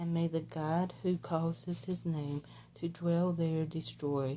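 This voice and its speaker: With a Southern US accent, a woman is talking. Her pace is very slow. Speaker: devotional Bible reader. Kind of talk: reading aloud. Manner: halting.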